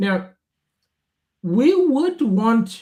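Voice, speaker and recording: A man speaks with a Portuguese accent and a dark, mellow tone. His pitch swings very widely. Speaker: software product manager and developer advocate. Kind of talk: live coding walkthrough. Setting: live stream. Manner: instructive.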